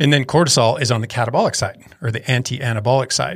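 Talking at a very fast pace, a man has a somewhat breathy voice at medium pitch. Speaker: head cycling coach. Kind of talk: casual chat. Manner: flat, unenthusiastic.

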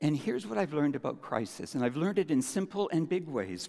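Fairly high in pitch yet dark and mellow in tone, a man's voice moves through very wide pitch swings. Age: 60s. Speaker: church elder and preacher. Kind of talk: sermon.

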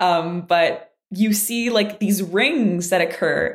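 A woman speaks with a French Canadian accent. Her pitch shows ordinary variation. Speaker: physics graduate student. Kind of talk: casual interview.

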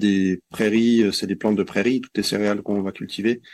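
A man's fairly low voice at a fairly quick pace, on a very clean recording with a silent background. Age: 40s. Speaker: forest garden association member, former engineer. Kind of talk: interview. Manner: hesitant, many fillers.

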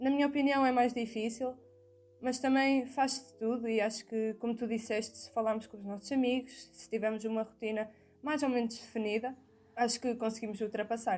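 With music in the background, a woman with a European Portuguese accent speaks at a fairly quick pace in a fairly high pitch, her intonation monotone and flat while her loudness swings widely. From Portugal, outside Porto. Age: young. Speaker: university student, podcast co-host. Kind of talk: casual chat.

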